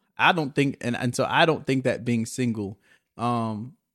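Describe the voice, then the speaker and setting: Over a very clean recording with a silent background, a man with a plain, everyday voice speaks at a medium pitch and a moderate pace. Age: 20s. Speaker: podcast host. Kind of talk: casual solo monologue.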